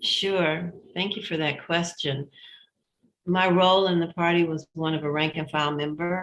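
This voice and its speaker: A woman speaks in a fairly low, monotone, flat voice at a moderate pace. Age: 70s. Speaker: foundation president, former party member. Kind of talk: interview conversation. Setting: live stream.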